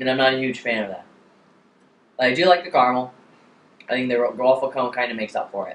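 A man talks at a very fast pace with ordinary pitch variation, and the room echo is audible. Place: home room. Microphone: camera far.

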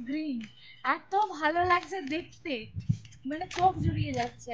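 A woman speaks in a high, bright and sharp voice with fairly even intonation over light background noise. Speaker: travel vlogger. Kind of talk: casual vlog chat. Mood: delighted, admiring. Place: open country.

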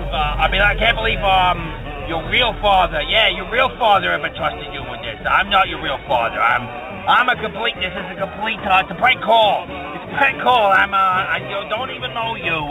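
A man talks at a moderate pace. Clear music can be heard in the background. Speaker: caller. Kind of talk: rambling comedic voicemail rant. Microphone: phone line.

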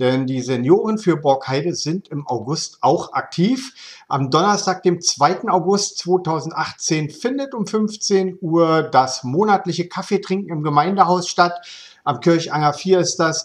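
A man speaks very slowly in a high voice with lively intonation. The background is quiet. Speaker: local news video host. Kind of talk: local news presentation. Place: home room. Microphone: webcam.

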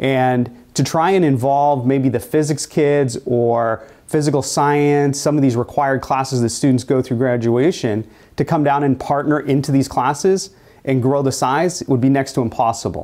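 A dark, mellow tone against a quiet background. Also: man, fairly even intonation, moderate pace. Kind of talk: informational presentation. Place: classroom. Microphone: lapel.

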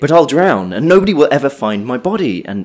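Putting on a character voice, a woman speaks at a fairly quick pace in an extremely low pitch with big pitch swings and a slightly mellow tone.

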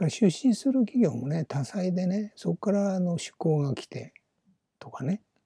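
A man speaks at a moderate pace in a high, dark, mellow voice, with very wide pitch swings and big changes in loudness. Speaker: business YouTuber, retired company employee. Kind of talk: solo video monologue. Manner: casual, rambling with many fillers.

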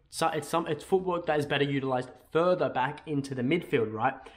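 An Australian accent is heard. The speaker is a man. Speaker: football YouTuber. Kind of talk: casual video commentary. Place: home room.

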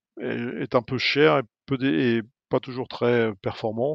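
A man speaks at a medium pitch. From France, Normandy (Fécamp). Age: 50s. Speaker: energy company executive. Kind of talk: interview. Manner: halting, many hesitations.

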